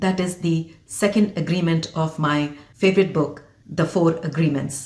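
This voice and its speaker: A woman with an Indian accent talks at a fairly slow pace in a fairly low, somewhat breathy voice. Her intonation stays fairly even. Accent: Indian, deeply rooted. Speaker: physician and leadership coach. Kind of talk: motivational talk to camera.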